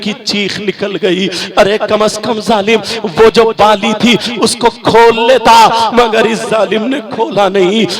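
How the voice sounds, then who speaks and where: A high-pitched man's voice with fairly even intonation over noticeable background noise. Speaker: Islamic preacher. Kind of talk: religious sermon to a night gathering. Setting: outdoor public gathering, live.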